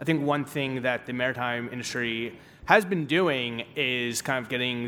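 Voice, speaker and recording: A man with a New Jersey accent speaks with ordinary pitch variation. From Newark, New Jersey. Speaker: venture capital investor. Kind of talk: panel discussion. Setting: conference stage with audience.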